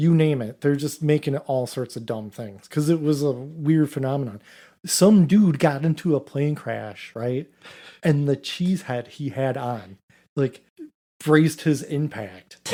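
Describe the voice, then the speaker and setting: In a very clean recording with a silent background, a man with a Wisconsin accent speaks at a fairly slow pace, his fairly high pitch carrying a dark, mellow tone and ordinary pitch variation. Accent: mild Wisconsin. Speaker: podcast co-host. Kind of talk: casual chat. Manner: animated.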